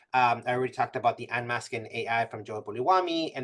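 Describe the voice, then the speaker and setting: This man, with a non-native accent, speaks fairly quickly at a medium pitch with fairly even intonation. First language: not English. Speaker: math professor giving a presentation. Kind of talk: webinar presentation. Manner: many fillers and self-corrections.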